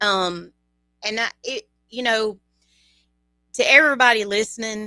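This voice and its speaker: A woman's fairly high voice in a Louisiana accent, bright and sharp in tone, with ordinary pitch variation and a dry, close sound with no echo. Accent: Louisiana Southern. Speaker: bereaved parent. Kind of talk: interview. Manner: halting.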